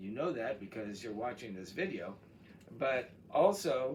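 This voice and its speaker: A man with an American accent speaks with lively intonation. Audible room echo surrounds his voice. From Texas. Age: 70s. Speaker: college chemistry instructor. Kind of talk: course introduction video. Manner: casual, with frequent fillers.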